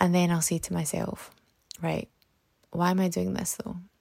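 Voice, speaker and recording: A woman speaks with a British accent. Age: 30s. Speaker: self-development podcaster and author. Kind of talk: solo motivational podcast talk.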